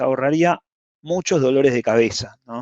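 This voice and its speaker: The man's pitch variation is ordinary. His voice sits fairly high. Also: dry, close sound with no echo. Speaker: cloud security specialist. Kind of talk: lecture. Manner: fast.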